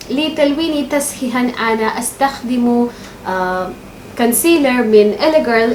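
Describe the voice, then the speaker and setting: A woman with a non-native accent and a high voice speaks at a very slow pace with ordinary pitch variation. Audible room echo and noticeable background noise surround her. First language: not Arabic (speaking Arabic). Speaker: beauty vlogger. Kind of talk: makeup tutorial. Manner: halting, many fillers.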